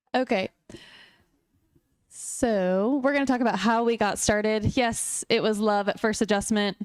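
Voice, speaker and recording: A woman with an American accent speaks slowly-ish, at a fairly slow pace, with long, frequent pauses. Her pitch is fairly high, her intonation fairly even, and her loudness very even. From US South (Raleigh, North Carolina). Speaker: chiropractor. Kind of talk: talk at a luncheon.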